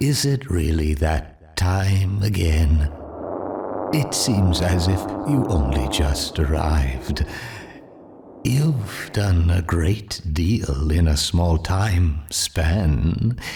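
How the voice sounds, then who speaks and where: A man's put-on character voice, very deep and low, at a very slow pace over clear background noise. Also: lively intonation, very even loudness. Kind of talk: eerie formal monologue. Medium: video game. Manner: oddly paced, formal, polite.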